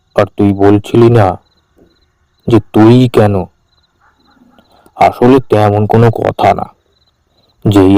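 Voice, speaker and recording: In a put-on character voice, a man sounds gruff at a medium pitch. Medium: cartoon. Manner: gruff, familiar, addresses others with tui.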